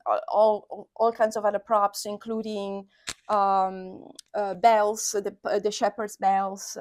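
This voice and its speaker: A woman with a Sardinian accent speaks at a fairly high pitch and a fairly slow pace in a monotone, flat intonation, on a very clean recording with a silent background. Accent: Italian (Sardinian). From Sardinia, Italy. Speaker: associate professor. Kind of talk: oral history interview answer.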